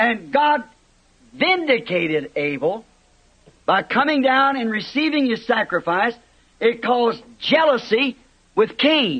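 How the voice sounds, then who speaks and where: The man's pitch is extremely high. His tone is bright and sharp. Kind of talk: sermon preaching.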